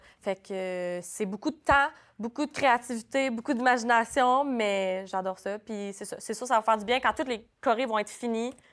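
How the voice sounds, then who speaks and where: The pitch varies by an ordinary amount. The recording is very clean, with a silent background. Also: woman, fairly high pitch for a woman. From New Brunswick, Canada. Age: 20s. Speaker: dance school director. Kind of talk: casual interview. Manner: fast.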